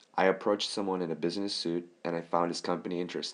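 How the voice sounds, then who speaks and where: With a Korean accent, a man speaks at a fairly quick pace in a very deep, low pitch, his intonation fairly even. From South Korea. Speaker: college student. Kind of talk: scripted narration.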